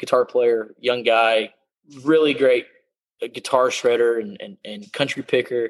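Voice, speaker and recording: Speaking with a Texan accent at a fairly slow pace, the voice stays flat and monotone while its loudness swings widely, the sound dry and close with no echo. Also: man. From South Texas, San Antonio. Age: 20s. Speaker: country singer. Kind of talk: interview. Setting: video call. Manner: halting.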